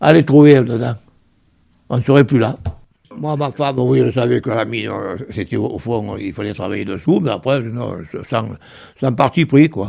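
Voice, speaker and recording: A man speaks at a medium pitch with a dark, mellow tone, vocal fry and ordinary pitch variation. He takes long, frequent pauses. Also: moderate pace. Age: 80s+. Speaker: retired miner. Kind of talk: oral history interview. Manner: halting, many repetitions.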